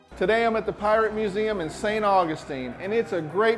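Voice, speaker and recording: Through noticeable background noise, a man with an upbeat tone speaks at a moderate pace in a high pitch, with ordinary pitch variation. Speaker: local TV show host. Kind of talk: TV show host talk to camera.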